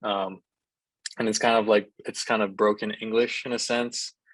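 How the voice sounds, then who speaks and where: A man with a Hawaiian accent, monotone and flat, at a moderate pace, with a dry, close sound and no echo. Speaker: college baseball player. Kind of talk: interview.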